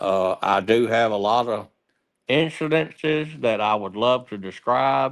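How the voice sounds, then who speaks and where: In a Southern US accent, a man speaks at a fairly low pitch. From US South, Alabama/Mississippi. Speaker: war veteran. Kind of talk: casual interview. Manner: halting.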